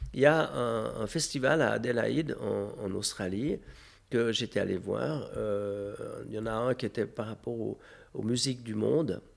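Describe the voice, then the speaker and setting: The man's pitch is medium with ordinary variation. He talks at a fairly slow pace. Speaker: festival founder and mayor. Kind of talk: interview. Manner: hesitant, many fillers.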